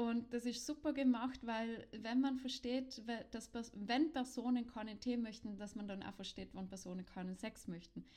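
A woman talks at a moderate pace with a fairly high pitch and a dark, mellow tone. Her pitch varies in an ordinary way while her loudness swings widely. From South Tyrol. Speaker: podcast co-host, sex educator. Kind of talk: casual chat.

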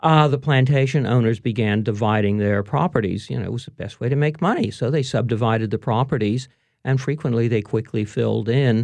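This is an ordinary speaking voice with ordinary pitch variation. It moves at a fairly quick pace with hardly any pauses. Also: man, medium pitch for a man. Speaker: historian and author. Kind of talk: casual interview chat. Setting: radio studio. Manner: relaxed, chatty, laughs often.

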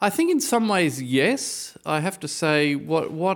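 A man with an Australian accent speaks at a fairly slow pace on a very clean recording with a silent background. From Australia, Brisbane. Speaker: composer and violist. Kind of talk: interview. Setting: studio.

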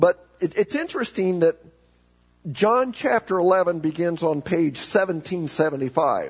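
A man talks at a very slow pace in a high voice. The sound is dry and close, with no echo. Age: 50s. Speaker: pastor. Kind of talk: sermon. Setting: church. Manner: halting, frequent repetitions.

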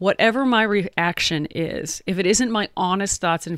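In a very clean recording with a silent background, a woman with a normal speaking voice talks at a fairly slow pace with ordinary pitch variation and a dry, close sound with no echo. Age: 40s. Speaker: podcast co-host. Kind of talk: casual chat.

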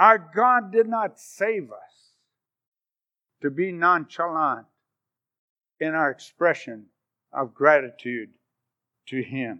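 A man speaks very slowly in a bright, sharp tone, with long, frequent pauses. His pitch swings very widely and his loudness varies a lot over a quiet background. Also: fairly high pitch for a man. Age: 70s. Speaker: guest preacher. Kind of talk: sermon. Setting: church.

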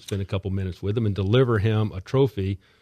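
With an American accent, a man speaks at a fairly low pitch in a dark, mellow tone with fairly even intonation, the sound dry and close with no echo over a quiet background. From Florida (Miami). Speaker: hospital foundation director, former golf event organizer. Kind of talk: casual interview. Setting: studio.

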